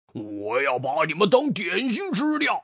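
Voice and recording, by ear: A put-on, growling character voice with very wide pitch swings, a slightly husky edge and a fairly slow pace.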